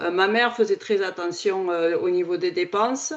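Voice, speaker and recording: With a southern French accent, a woman speaks at a medium pitch with ordinary pitch variation. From southern France. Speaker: podcast host. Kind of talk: casual chat.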